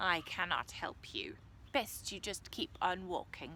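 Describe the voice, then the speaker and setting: A woman puts on a character voice at a medium pitch and a fairly slow pace. Clear background noise can be heard. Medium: read story.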